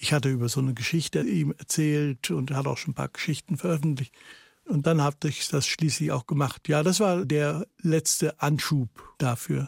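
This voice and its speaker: A somewhat breathy man with fairly high pitch speaks at a moderate pace with ordinary pitch variation. The sound is dry and close with no echo, on a very clean recording with a silent background. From Netherlands, then Germany from age six. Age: 70s. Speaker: writer and political essayist. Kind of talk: radio interview.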